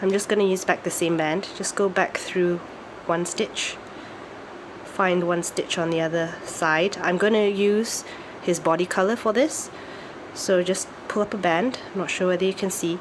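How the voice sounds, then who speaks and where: Speech moves at a moderate pace with fairly even intonation. Noticeable background noise is present. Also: woman, medium pitch for a woman. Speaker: craft tutorial maker. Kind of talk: tutorial.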